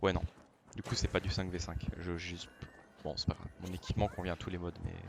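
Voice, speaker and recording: The pace is fairly quick. A man speaks with a very deep, low pitch. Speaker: gaming YouTuber. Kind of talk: let's play gameplay commentary. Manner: loud; animated.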